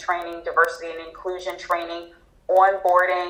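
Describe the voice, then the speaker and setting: With a Philadelphia accent, a woman talks in a fairly low pitch and a flat, monotone delivery while noticeable background noise runs underneath. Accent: Philadelphia American English. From Philadelphia, Pennsylvania, USA. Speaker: HR talent and organizational development specialist. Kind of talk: interview answer.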